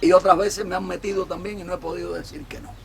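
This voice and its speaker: A man speaks with a high pitch. There is noticeable background noise behind him. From Cuba. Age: 60s. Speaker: political commentator. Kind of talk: monologue.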